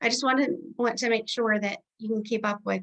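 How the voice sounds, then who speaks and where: The woman's voice has a bright, sharp tone. She keeps a fairly quick pace. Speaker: book club discussion leader. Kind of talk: online group discussion. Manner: fast.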